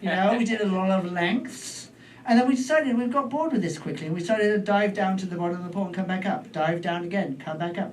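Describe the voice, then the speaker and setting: Amid noticeable background noise, a man with a British accent speaks at a very fast pace with a high pitch and ordinary pitch variation. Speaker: stand-up comedian. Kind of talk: stand-up comedy storytelling.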